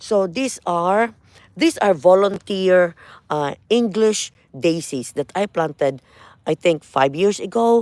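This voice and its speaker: Speech comes at a very slow pace in a Filipino accent. The recording is very clean, with a silent background. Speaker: gardening vlogger. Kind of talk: casual walkthrough vlog. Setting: outdoors in front garden. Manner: conversational, hesitant with fillers.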